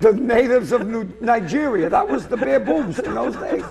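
Heard with an Boston accent, this voice swings very widely in pitch at a moderate pace. Light background noise sits behind it. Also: man. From Lynn, Massachusetts; Massachusetts. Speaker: comedian. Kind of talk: casual chat. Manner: animated. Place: studio. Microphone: lapel.

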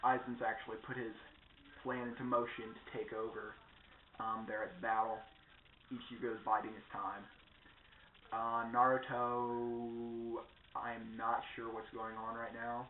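The delivery is fairly slow, with long, frequent pauses. Light background noise and audible room echo are present. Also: man. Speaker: vlogger. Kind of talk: casual vlog chat. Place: home room.

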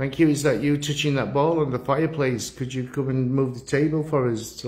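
Somewhat breathy, a man keeps fairly even intonation at a moderate pace. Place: hall.

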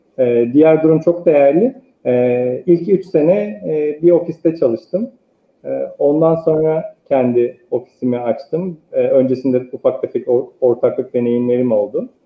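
A man talks at a fairly slow pace. Room echo can be heard. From eastern Turkey (Sarıkamış, Kars). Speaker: architect. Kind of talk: interview. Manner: hesitant, many filler sounds. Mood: calm, reflective. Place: home room. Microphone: earbuds.

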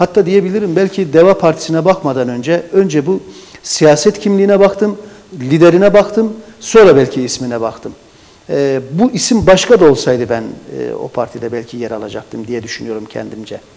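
His pitch fairly high, a man's voice makes very wide pitch swings and big swings in loudness. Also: moderate pace. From Adıyaman, Turkey. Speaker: local party chairman, writer and forestry engineer. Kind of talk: interview. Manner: formal. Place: studio. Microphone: lapel.

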